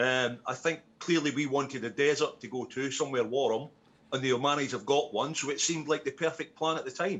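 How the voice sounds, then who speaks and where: A man's fairly high voice with fairly even intonation over noticeable background noise. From Essex, England. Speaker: war veteran. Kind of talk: casual chat. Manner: halting.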